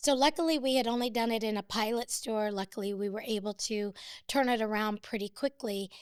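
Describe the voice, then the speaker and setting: She has a normal speaking voice, fairly high in pitch with ordinary pitch variation and a fairly quick pace. The recording is very clean, with a silent background. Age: 60s. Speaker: business owner. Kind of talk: interview.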